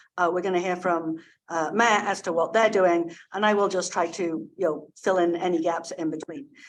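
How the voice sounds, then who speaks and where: Audible room echo surrounds a woman speaking at a moderate pace in a medium pitch. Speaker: panel moderator. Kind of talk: conference panel introduction. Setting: conference room, hybrid event. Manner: loud.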